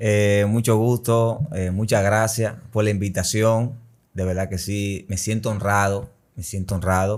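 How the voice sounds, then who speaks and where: The intonation is monotone and flat, captured in a very clean recording with a silent background. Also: man. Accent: Dominican. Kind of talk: testimony.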